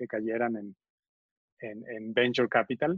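A man's normal speaking voice, medium in pitch, fairly slow, with fairly even intonation. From Venezuela. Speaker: venture capital investor. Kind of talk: interview.

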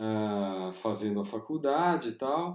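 The tone is dark and mellow. Intonation moves in a lively way. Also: man. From Brazil, Piracicaba (São Paulo state interior). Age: 40s. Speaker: illustrator. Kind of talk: interview. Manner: hesitant, many fillers.

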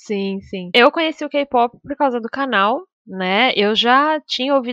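A woman talks in a normal speaking voice, fairly high in pitch, with lively intonation at a fairly slow pace. The sound is dry and close, with no echo. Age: 20s. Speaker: podcast co-host, streamer. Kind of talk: casual chat.

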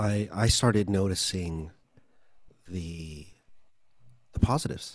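A man with an American accent has an unremarkable speaking voice. He talks fairly slowly with a fairly low pitch and ordinary pitch variation. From US, Filipino American. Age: 40s. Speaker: vocal coach and audio engineer. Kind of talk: interview.

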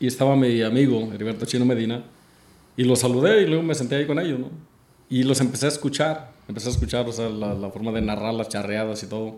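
Speaking at a very fast pace, a man talks at medium pitch with ordinary pitch variation, and the room echo is audible. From Mexico. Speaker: charreada announcer, former coleador. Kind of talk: casual interview chat.

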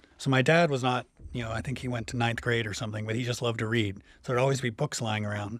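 A man talks at medium pitch in a plain, everyday voice. His intonation is fairly even. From Canada, Ontario. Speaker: physics professor. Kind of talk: interview.

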